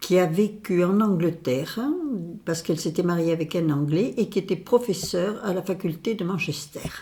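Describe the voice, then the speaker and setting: Somewhat breathy, a woman's dark, mellow voice sits fairly low in pitch, with ordinary pitch variation and a moderate pace. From southwest France, Pau. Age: 80s+. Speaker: retired association president, activist. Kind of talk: interview. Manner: hesitant with fillers.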